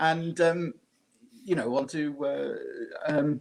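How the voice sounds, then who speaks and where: A man with a British accent and ordinary pitch variation. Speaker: podcast co-host. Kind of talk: casual chat. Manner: halting, many fillers and repeats.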